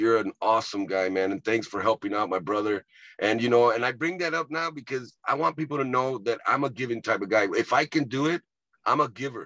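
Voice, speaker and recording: A man in an American accent talks fairly quickly with a bright, sharp tone and lively intonation over a quiet background. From Texas, Rio Grande Valley (Edinburg); Texas. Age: 50s. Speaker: comedian and actor; comedian, actor. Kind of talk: casual interview. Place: car. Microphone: video call.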